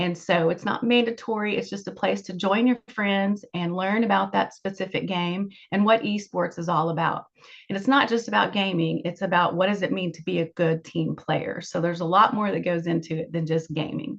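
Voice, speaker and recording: A woman's fairly low voice with vocal fry, ordinary pitch variation, a moderate pace, and hardly any pauses. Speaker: school staff presenter. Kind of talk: informational presentation.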